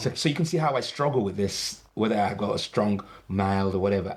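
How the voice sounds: In a very clean recording with a silent background, a man with a British accent speaks at a fairly quick pace, his fairly low pitch showing ordinary variation and his loudness very even. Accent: British-sounding English.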